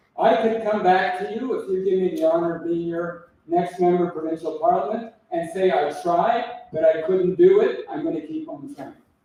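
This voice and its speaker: A man speaks with a high pitch and lively intonation. Room echo is audible around him. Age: 70s. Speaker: political candidate. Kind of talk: election debate.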